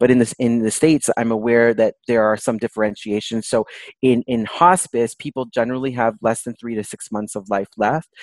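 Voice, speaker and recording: In an ordinary speaking voice with a Canadian accent, a man talks at a fairly quick pace with hardly any pauses, medium pitch and fairly even intonation, recorded dry and close with no echo. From Toronto, Canada. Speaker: palliative care doctor. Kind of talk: interview conversation.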